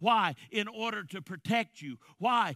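Raised and projected, a man's voice carries a bright, sharp tone, an animated tone and lively intonation. He goes at a fairly slow pace, with dry sound with no echo and a quiet background. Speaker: preacher. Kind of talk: sermon. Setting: church. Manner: forceful. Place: church. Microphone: headset.

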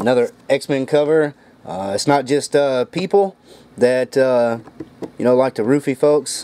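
Moderate pace from a male speaker. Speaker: comic collector. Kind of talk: casual vlog chat. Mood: joking, amused. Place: home room. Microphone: phone near.

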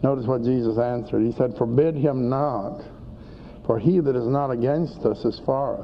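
Speech comes at a moderate pace with fairly even intonation over light background noise. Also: man. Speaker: preacher teaching scripture. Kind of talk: sermon. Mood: calm, slightly wry. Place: studio. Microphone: old recording.

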